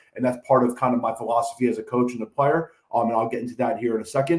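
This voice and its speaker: A man with a medium pitch and an American accent, talking at a very fast pace. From New York. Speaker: high school football coach. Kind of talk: lecture.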